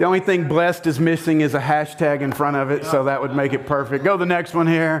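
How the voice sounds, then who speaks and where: Speaking very fast with a Southern US accent, a man has a fairly high pitch and fairly even intonation. His loudness stays very even amid audible room echo and noticeable background noise. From US South. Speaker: pastor. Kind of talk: sermon. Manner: conversational, interactive.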